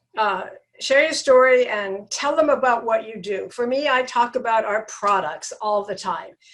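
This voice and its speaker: This woman's voice sits high in pitch with ordinary variation. She speaks at a fairly slow pace. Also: long, frequent pauses. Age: 70s. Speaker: network marketing coach, healthy aging advocate. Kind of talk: interview.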